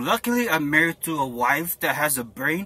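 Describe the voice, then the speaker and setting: A man speaks with a bright, sharp tone. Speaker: army applicant vlogger. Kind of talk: casual vlog. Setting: in a car. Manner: casual, rambling with fillers.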